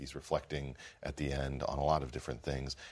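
This man talks at a fairly quick pace with vocal fry. His pitch is very deep and low. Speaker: political commentator and publisher. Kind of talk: panel discussion.

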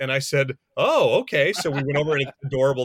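Dry and close with no echo, a man's voice moves at a very fast pace with an American accent. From US West (rural Montana). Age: 40s. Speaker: film director. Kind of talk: casual chat.

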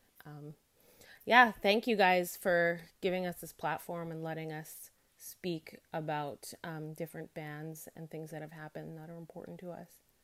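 A normal speaking voice from a woman, fairly low in pitch, fairly even in intonation, at a moderate pace with big swings in loudness, on a very clean recording with a silent background. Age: 30s. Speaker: listener sharing experience as a fan. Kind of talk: recorded voice note testimony.

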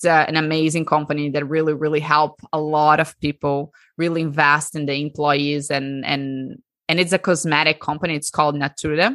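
Fairly quick delivery with a Portuguese accent. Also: woman, very deep, low pitch for a woman. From Brazil. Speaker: breathwork coach. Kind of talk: interview. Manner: animated.

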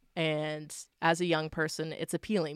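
A woman speaks with a very deep, low pitch. The sound is dry and close, with no echo. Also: very clean recording, silent background. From Nova Scotia, Canada. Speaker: singer-songwriter. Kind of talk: casual interview chat.

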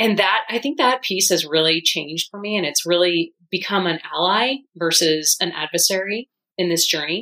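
A woman talks in a plain, everyday voice with ordinary pitch variation. She takes hardly any pauses. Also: medium pitch for a woman, moderate pace. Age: 50s. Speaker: weight loss program client. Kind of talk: interview testimony.

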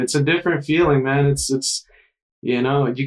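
A man with an American accent speaks at a moderate pace with a fairly high pitch. He has a normal speaking voice. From US South, South Carolina coast. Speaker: surf instructor. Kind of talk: casual chat.

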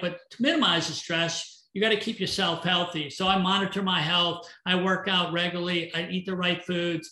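A man projects a raised, high-pitched voice with a bright, sharp tone at a moderate pace. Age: 60s. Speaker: entrepreneur and business coach. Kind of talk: casual interview.

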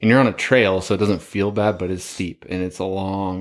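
On a very clean recording with a silent background, a man talks at a fairly quick pace in a very deep, low pitch with monotone, flat intonation. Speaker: elk hunter. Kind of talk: casual chat.

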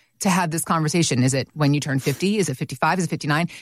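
Her intonation lively, a woman talks in an ordinary speaking voice with a fairly low pitch. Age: 40s. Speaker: radio co-host. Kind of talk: casual chat.

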